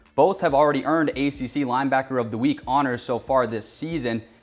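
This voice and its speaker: Speaking in a normal speaking voice, a man talks at a fairly quick pace with medium pitch and fairly even intonation, on a very clean recording with a silent background. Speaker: sports reporter. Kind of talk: on-air sports report.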